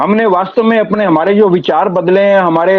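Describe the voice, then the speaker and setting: The man's pitch is high. His intonation stays fairly even. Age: 60s. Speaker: online business community member. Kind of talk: testimony. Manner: emotional, earnest.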